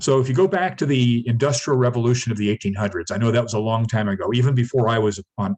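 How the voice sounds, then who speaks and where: A man talks at a very fast pace, somewhat breathy. His pitch is medium with ordinary pitch variation. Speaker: startup mentor giving a business workshop. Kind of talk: lecture.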